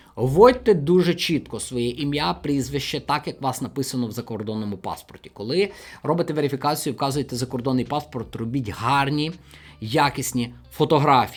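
A man speaks in an ordinary speaking voice at a moderate pace. His pitch is fairly high, with ordinary pitch variation. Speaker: finance video blogger. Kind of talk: tutorial.

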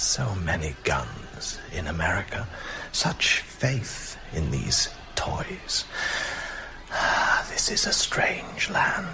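A man's put-on character voice at a very slow pace over loud background noise. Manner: suave, menacing, courtly.

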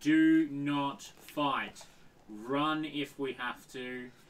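A man's put-on character voice, fairly high-pitched, at a very slow pace. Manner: very quiet, low voice.

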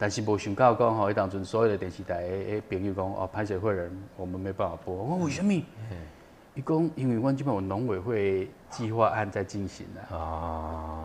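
A man with a plain, everyday voice, fairly low in pitch with ordinary variation, speaks at a moderate pace over light background noise. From Taiwan. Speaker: documentary director, former TV cameraman; guest. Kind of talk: interview. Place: studio.

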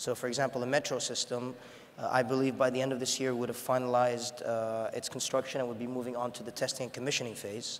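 A man's medium-pitched voice, very fast and monotone with flat intonation. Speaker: sports event organizing official. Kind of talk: panel discussion. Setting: stage with audience. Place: stage. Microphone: lapel.

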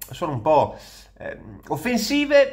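Speaking at a fairly slow pace, a man moves through very wide pitch swings. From Veneto, northern Italy. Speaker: content creator. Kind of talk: casual monologue reacting to comments. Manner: hesitant, with fillers. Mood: ironic, amused. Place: home room. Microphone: phone near.

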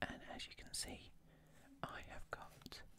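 Someone is whispering at a very slow pace. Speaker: ASMR creator. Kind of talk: ASMR video, soft-spoken commentary while scratching lottery cards. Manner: soft-spoken. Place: home room.

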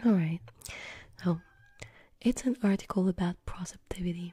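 Against a quiet background, a soft-spoken, somewhat breathy woman talks at a moderate pace, the sound dry with no echo. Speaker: ASMR-style creator. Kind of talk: soft reading aloud of an article. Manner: soft, murmured ASMR voice. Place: home room. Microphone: studio mic.

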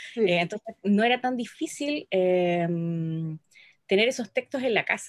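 Over a quiet background, a woman talks at a fairly slow pace with lively intonation in a dry sound with no echo. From Chile. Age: 40s. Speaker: poet and editor; guest. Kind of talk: interview. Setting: video call. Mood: calm, reflective. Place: home room. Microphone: video call.

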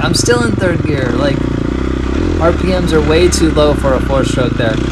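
A fairly slow pace against loud background noise. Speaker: amateur racer reviewing his ride. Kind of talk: commentary.

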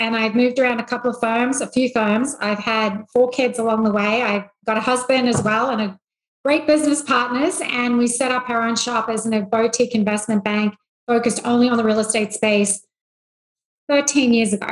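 With an Australian accent, a woman speaks at a high pitch against a quiet background with audible room echo. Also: fairly even intonation, moderate pace. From rural Australia. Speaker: investment bank CEO; podcast guest. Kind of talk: interview. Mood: reflective, warm storytelling. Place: home room. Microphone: video call.

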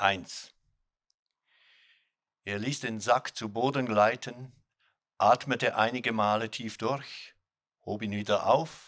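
A man's very slow delivery with long, frequent pauses and fairly even intonation, over a quiet background. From Switzerland. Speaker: author. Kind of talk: literary reading. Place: stage. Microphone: studio mic.

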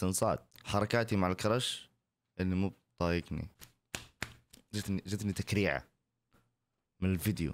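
Dry sound with no echo, light background noise, very even loudness, a moderate pace and long, frequent pauses. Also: man, very deep, low pitch for a man. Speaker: content creator reacting to TikTok videos; content creator. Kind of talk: casual reaction video. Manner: animated. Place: home room. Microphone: studio mic.

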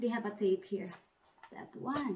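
Audible room echo fills the recording. The woman's delivery is fairly slow. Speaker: vlogger. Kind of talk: casual vlog chat. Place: home room. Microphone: phone near.

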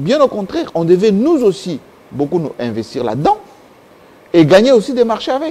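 Using a high pitch with very wide swings, a man speaks at a moderate pace broken by long, frequent pauses. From DR Congo, Kasai region; DR Congo. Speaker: political commentator; guest. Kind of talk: interview; interview answer. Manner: halting. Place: studio. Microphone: lapel.

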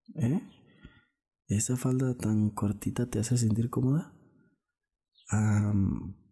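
The voice has a dark, mellow tone and is somewhat breathy. It moves at a very slow pace with fairly even intonation.

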